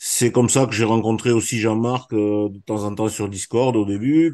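Over a quiet background, a man with a fairly low pitch and a dark, mellow tone speaks at a fairly slow pace with fairly even intonation. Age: 60s. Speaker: trading trainer. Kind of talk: online presentation of a training course. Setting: video call.

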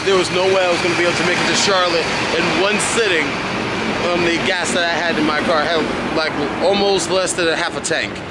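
A man talking at a very fast pace, dry sound with no echo, loud background noise behind him. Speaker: car vlogger. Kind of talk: casual vlog chat. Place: street. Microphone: phone near.

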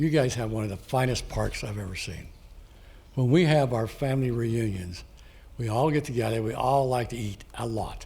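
A man with an American accent, medium pitch and a somewhat breathy, dark, mellow tone, at a moderate pace with ordinary pitch variation and audible room echo. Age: 80s+. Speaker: public commenter, Marine veteran. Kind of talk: public comment at council meeting.

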